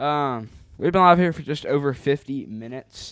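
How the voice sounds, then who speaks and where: This man speaks loudly, with ordinary pitch variation. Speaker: weather livestream host. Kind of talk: live weather coverage stream. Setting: livestream. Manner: hesitant, many fillers.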